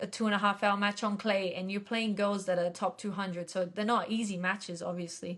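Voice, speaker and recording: On a very clean recording with a silent background, a woman talks at a fairly quick pace in a flat monotone at medium pitch. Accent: Australian. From Australia. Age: 20s. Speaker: professional tennis player. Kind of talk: interview. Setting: podcast.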